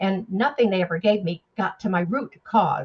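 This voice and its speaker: A woman with a medium-pitched, somewhat breathy voice speaks at a moderate pace with ordinary pitch variation. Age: 80s+. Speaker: network marketing presenter. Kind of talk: testimony. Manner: animated.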